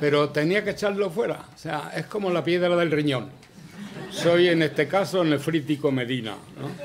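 A man with a strong Andalusian accent, fairly high pitch, ordinary pitch variation, and moderate pace, with light background noise. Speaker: veteran journalist. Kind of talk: acceptance speech. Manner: rambling, conversational. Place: hall. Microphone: podium.

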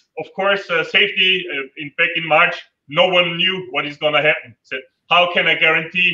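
At a moderate pace, a man speaks with fairly even intonation. Room echo is audible over a quiet background. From Austria. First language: German. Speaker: adventure tour operator; panelist. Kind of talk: online panel interview. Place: home room. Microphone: video call.

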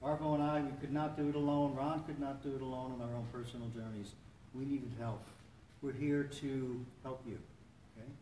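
A man's monotone, flat intonation at a fairly quick pace, with audible room echo and light background noise. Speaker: support meeting host. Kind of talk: welcome talk to a meeting. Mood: warm, encouraging. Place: church. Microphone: camera far.

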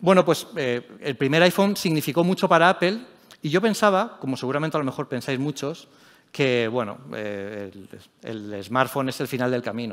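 Against a quiet background, a man talks at a fairly quick pace in a normal speaking voice with lively intonation. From Spain, Elche (Alicante); Spain. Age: 40s. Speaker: tech journalist and editor; tech journalist. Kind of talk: conference talk. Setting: stage with audience. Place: stage.

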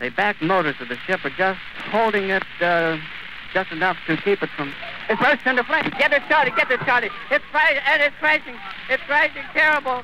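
A man speaks in a raised, projected voice at an extremely high pitch, with very wide pitch swings and a fairly quick pace. The sound is dry with no echo, and there is noticeable background noise. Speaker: radio reporter giving live eyewitness broadcast. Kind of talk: live radio news report. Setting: vintage 1930s broadcast recording. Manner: emotional, distressed, breaking voice. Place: open country. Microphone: old recording.

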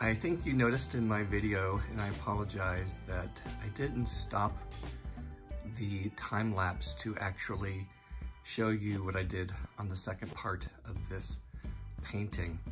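A man's very deep, low voice at a fairly slow pace, with long, frequent pauses and clear music in the background. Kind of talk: casual vlog chat. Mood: relaxed, mildly pleased. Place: home room. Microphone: phone near.

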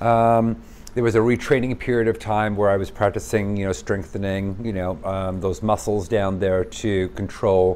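A man's fairly low pitch at a moderate pace with fairly even intonation. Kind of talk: casual vlog chat. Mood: candid, earnest. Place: home room.

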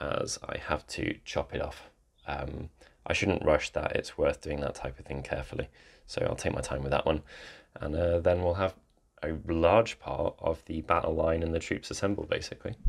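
Moderate pace from a man, quiet background behind him. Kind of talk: casual vlog chat. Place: home room.

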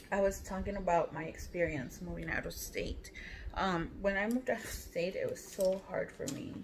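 There is light background noise behind the speaker, a woman with an American accent. She talks at a moderate pace. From Texas. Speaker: beauty vlogger. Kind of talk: casual chat. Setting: at home. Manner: animated. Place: home room. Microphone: phone near.

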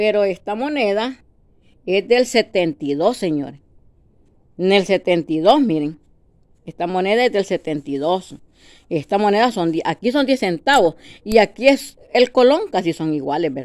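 A woman with a Salvadoran accent at a very slow pace, with long, frequent pauses and very wide pitch swings, against a quiet background. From El Salvador. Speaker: video blogger. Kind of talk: casual monologue to camera. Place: home room. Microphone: phone near.

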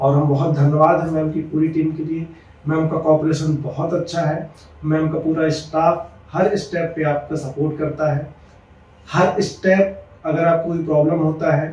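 In a room with audible echo, a man with a fairly high pitch speaks at a fairly slow pace with monotone, flat intonation. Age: 30s. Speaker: patient. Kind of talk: testimonial. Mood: grateful, earnest. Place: office.

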